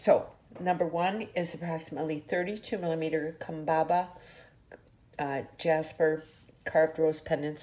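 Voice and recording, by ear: Using a put-on character voice, a woman sounds raspy at fairly low pitch, with monotone, flat intonation, a moderate pace and long, frequent pauses.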